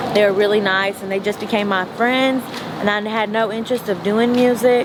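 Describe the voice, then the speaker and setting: Against noticeable background noise, someone with a Southern US accent talks at a fairly quick pace in a monotone, flat intonation. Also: woman, fairly high pitch for a woman. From rural East Texas. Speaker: rapper. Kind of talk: interview answer. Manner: casual.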